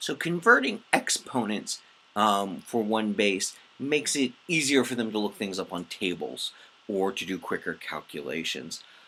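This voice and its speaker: Amid noticeable background noise, a man with a fairly low pitch speaks at a moderate pace. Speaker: math teacher. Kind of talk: lecture. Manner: halting, many fillers.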